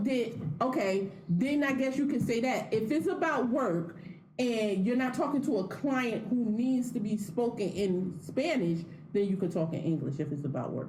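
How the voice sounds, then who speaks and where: A woman speaks at a fairly slow pace with very wide pitch swings. Room echo is audible. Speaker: podcast co-host. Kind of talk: casual chat.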